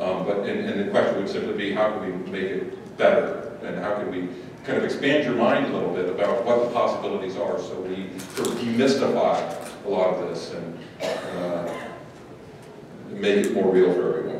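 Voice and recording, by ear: In a room with audible echo, a man talks at a moderate pace with a low pitch, fairly even intonation and a slightly mellow tone.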